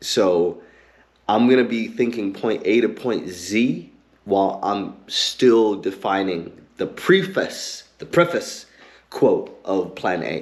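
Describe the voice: A man speaks at a slow pace in a fairly low pitch. His intonation is lively.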